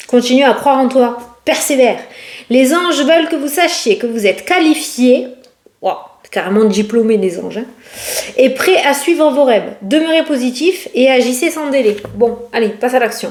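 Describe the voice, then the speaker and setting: Her pitch high and her intonation lively, a woman talks in an animated tone. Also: moderate pace. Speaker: tarot card reader. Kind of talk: casual tarot reading to camera. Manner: chatty, animated.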